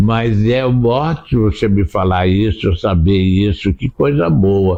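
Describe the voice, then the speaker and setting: A man with a fairly low pitch speaks at a very slow pace. His intonation is lively. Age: 80s+. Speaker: theatre director. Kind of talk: interview.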